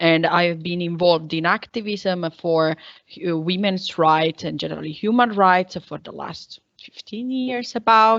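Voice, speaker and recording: A woman's fairly low voice at a fairly slow pace, with ordinary pitch variation and big swings in loudness. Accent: Italian. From Italy. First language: Italian. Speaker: women's rights activist. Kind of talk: panel discussion.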